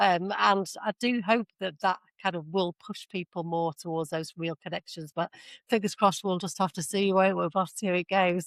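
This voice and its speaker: A woman with an English accent at medium pitch and moderate pace, big swings in loudness, in a very clean recording with a silent background and a dry, close sound with no echo. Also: fairly even intonation. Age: 50s. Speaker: podcast host. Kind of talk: interview.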